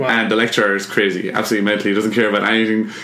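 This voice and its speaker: A man talks in an Irish accent. Noticeable background noise and audible room echo are in the recording. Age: 20s. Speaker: artist and illustrator. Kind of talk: casual chat.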